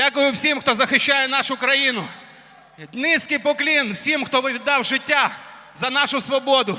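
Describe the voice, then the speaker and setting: A man's raised, projected voice at an extremely high pitch comes through at a moderate pace over noticeable background noise. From Ukraine. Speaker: Muay Thai fighter. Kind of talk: post-fight interview.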